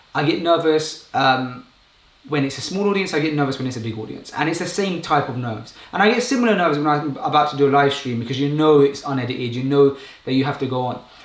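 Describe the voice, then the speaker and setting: At a very fast pace with ordinary pitch variation, the voice carries audible room echo and noticeable background noise. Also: man, fairly high pitch for a man. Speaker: YouTuber and public speaker. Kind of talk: live stream talk. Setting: live stream. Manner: casual, unscripted.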